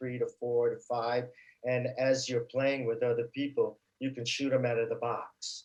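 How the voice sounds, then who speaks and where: This man speaks with an American accent at a medium pitch. His delivery is fairly slow and his intonation flat and monotone. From Brooklyn, New York. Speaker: stuntman. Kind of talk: interview, casual chat. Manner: halting, many fillers.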